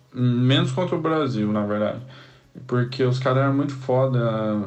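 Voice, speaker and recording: At a moderate pace and with fairly even intonation, a man talks in a room with audible echo. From Cuiabá, Brazil. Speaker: samba musician. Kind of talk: recorded voice memo.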